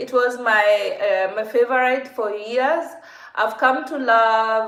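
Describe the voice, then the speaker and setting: With a Kenyan accent, a woman talks at a very slow pace in a high pitch. Room echo is audible. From Kenya, Nakuru. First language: Kikuyu. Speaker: vlogger. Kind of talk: casual livestream Q&A.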